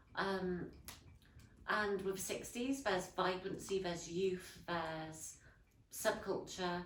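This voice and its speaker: In a Yorkshire accent, the speaker talks at a very slow pace with long, frequent pauses and fairly even intonation, with audible room echo. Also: woman, medium pitch for a woman. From northern England, Leeds. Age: 20s. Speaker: historical interpreter and artist. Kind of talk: interview. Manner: hesitant, many fillers.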